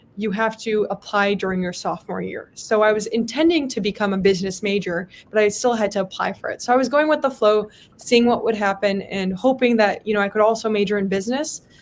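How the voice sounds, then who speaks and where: Very fast speech from a woman, fairly high in pitch, with ordinary pitch variation. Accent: Midwestern US. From US Midwest (Palatine, Illinois). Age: 20s. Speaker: state legislator. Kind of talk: motivational talk and Q&A.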